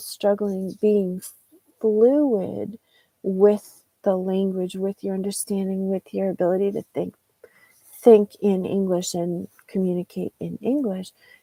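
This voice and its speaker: In an American accent, a woman speaks fairly slowly with a dark, mellow tone. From United States. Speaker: English teacher. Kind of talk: live-stream lesson. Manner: slow, deliberate.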